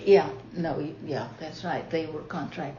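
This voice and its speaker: Over noticeable background noise, a woman talks at a very deep, low pitch. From Marshall Islands. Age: 70s. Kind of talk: interview answer. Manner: hesitant, many fillers.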